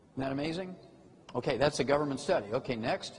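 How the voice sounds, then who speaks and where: Noticeable background noise behind a man's medium pitch and ordinary pitch variation. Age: 70s. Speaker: health lecturer promoting supplements. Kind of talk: lecture. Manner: animated.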